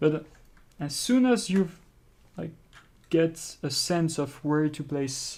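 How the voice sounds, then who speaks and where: Spoken very slowly, with a French accent. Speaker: art instructor. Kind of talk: tutorial. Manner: halting, with repetitions.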